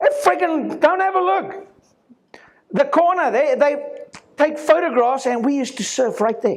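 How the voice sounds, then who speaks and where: A man's extremely high-pitched, animated voice at a fairly slow pace, with very wide pitch swings and long, frequent pauses. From South Africa. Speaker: chiropractor. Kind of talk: talk to an audience. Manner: loud.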